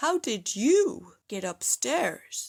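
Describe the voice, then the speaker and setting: A woman's put-on character voice, growling at a high pitch with very wide pitch swings, on a very clean recording with a silent background. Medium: read story.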